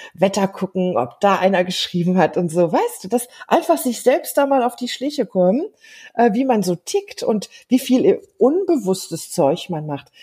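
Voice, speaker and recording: On a very clean recording with a silent background, a somewhat breathy voice with a dark, mellow tone moves at a fairly slow pace through very wide pitch swings. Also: woman, fairly high pitch for a woman. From Germany. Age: 50s. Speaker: life coach. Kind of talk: casual interview.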